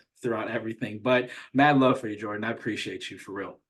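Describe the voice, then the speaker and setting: A man speaks with an American accent. His pitch is medium. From Atlanta, US South. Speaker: trading mentor. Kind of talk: casual graduation call speech. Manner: stutter.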